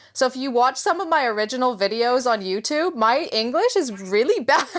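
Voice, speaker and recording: Over noticeable background noise, a woman with a high pitch talks at a fairly quick pace with lively intonation. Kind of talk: casual interview chat.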